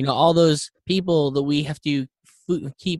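With a plain, everyday voice, a man talks at a moderate pace, fairly high in pitch with ordinary pitch variation, in a dry, close sound with no echo. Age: 30s. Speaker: environmental podcast host. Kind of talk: casual chat.

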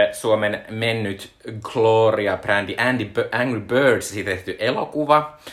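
Pitch moves in an ordinary way here. The delivery is very slow. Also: man. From Finland, Joensuu. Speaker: podcast co-host. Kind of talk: casual chat. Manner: hesitant, many filler sounds.

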